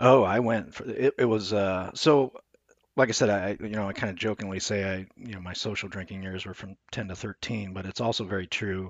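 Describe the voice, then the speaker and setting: Speaking at a fairly quick pace with an American accent, a man has an unremarkable speaking voice, fairly low in pitch, with fairly even intonation and big swings in loudness. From US Midwest, Omaha, Nebraska. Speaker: person in recovery from addiction. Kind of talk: casual interview.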